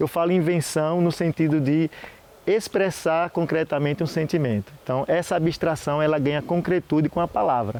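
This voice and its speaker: A man speaks in a Sergipe accent at a fairly high pitch with ordinary pitch variation. His pace is moderate and his loudness very even. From Sergipe, Brazil. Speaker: historian. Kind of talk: interview. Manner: halting.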